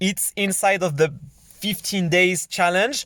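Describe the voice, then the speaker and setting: A man with a high voice and a French accent, recorded very cleanly against a silent background, dry and close with no echo. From France. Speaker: online business coach. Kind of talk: tutorial. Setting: screen recording. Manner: halting.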